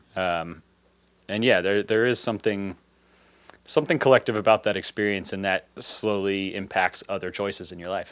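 A man with an unremarkable speaking voice talks at a moderate pace, his pitch fairly low and his intonation fairly even. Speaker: podcast host. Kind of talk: casual chat.

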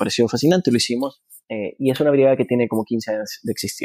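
Dry and close with no echo, a man talks at a very fast pace. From Honduras. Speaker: film director and producer. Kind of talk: interview.

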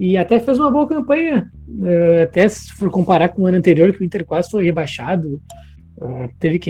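With noticeable background noise, a man talks at a fairly quick pace in a high pitch, his intonation lively. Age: 20s. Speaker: football podcast co-host. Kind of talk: casual chat.

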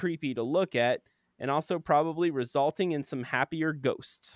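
Here is a man with an American accent and a normal speaking voice. He talks at a fairly high pitch and a moderate pace. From Florida. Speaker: podcast co-host. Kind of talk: reading aloud; casual chat.

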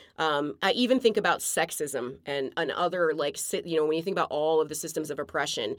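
A woman with a plain, everyday voice and an American accent talks at a fairly quick pace in a fairly low pitch with lively intonation, on a very clean recording with a silent background. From outside the US. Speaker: podcast co-host. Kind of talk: casual chat.

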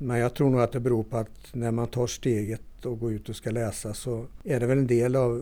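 This man has a medium pitch and a dark, mellow tone, sounds somewhat breathy, and talks at a fairly quick pace. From northern Värmland, Sweden (Torsby). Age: 60s. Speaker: folk high school teacher. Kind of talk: interview.

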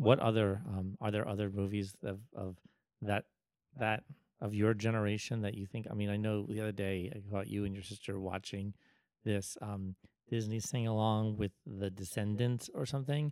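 This man has an unremarkable speaking voice, fairly low in pitch, with fairly even intonation and a moderate pace. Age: 40s. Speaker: podcast host. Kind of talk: casual chat.

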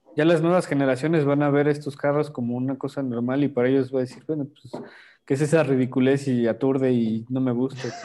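At a fairly quick pace, a man speaks in a dark, mellow tone with monotone, flat intonation. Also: medium pitch for a man. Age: young. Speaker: car podcast co-host. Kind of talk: casual chat.

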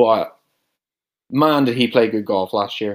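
Speaking with a Northern Irish accent, a man talks at a fairly slow pace and a medium pitch. The recording is very clean with a silent background. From Northern Ireland. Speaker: podcast co-host. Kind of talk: casual chat.

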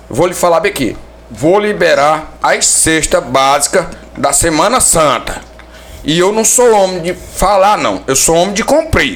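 Noticeable background noise sits behind a man's voice. He talks at a fairly slow pace with very even loudness. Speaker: local council pre-candidate. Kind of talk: casual chat. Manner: halting.

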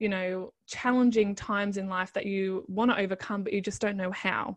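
A woman with an Australian accent talks at a fairly quick pace and a medium pitch. Her intonation stays fairly even against a quiet background. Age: 30s. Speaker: life coach. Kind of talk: interview.

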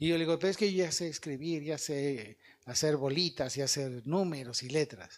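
Speaking with a Mexican accent, a man talks at a moderate pace and a fairly high pitch, with ordinary pitch variation. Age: 50s. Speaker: evangelist speaker. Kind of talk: sermon.

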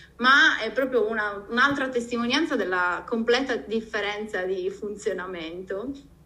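Audible room echo surrounds a woman speaking at a moderate pace and fairly high pitch, with ordinary pitch variation and a bright, sharp tone. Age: 40s. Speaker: podcast host. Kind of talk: casual chat.

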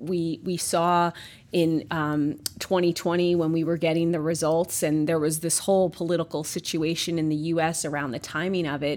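On a very clean recording with a silent background, a woman with a New York accent and a fairly low pitch talks at a moderate pace. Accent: New York American. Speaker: pharmaceutical company executive. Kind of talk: interview conversation. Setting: office.

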